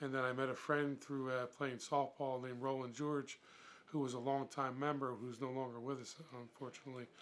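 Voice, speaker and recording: At a fairly quick pace, a man with an American accent speaks in a flat monotone. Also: medium pitch for a man. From Philadelphia. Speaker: mummers club member. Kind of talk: documentary interview.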